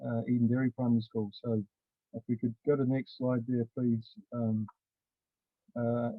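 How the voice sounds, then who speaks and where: A man's medium-pitched voice with a New Zealand accent, moderate in pace, with monotone, flat intonation and long, frequent pauses. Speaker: primary school teacher. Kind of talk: online conference presentation.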